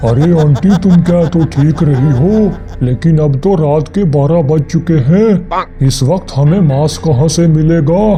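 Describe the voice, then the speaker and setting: Over clear background noise, a man uses a put-on character voice at a fairly high pitch. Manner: nervous, comic.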